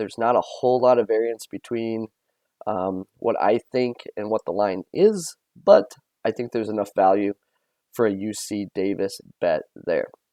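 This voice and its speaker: The man's voice has a dark, mellow tone at a medium pitch, with fairly even intonation, a moderate pace and a dry, close sound with no echo. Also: quiet background. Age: 40s. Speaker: sports betting video host. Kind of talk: casual sports betting picks monologue. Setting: recording at parents' house. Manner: halting, frequent fillers and repetitions.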